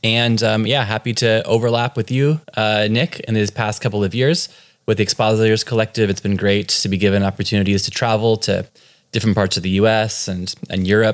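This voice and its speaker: A man speaks with an American accent in an unremarkable speaking voice. His pitch is fairly low and his intonation fairly even. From California. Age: 30s. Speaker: pastor. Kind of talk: casual interview.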